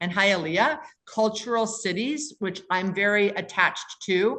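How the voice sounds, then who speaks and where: A woman speaks in a normal speaking voice with a medium pitch. Her pace is moderate and her pitch variation ordinary. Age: 60s. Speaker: commercial real estate investor. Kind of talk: podcast interview.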